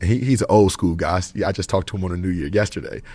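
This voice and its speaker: Somewhat breathy, a man speaks with fairly low pitch. He talks at a very fast pace. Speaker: professional exhibition basketball player. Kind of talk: podcast interview. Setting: backstage before a show. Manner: casual, slangy.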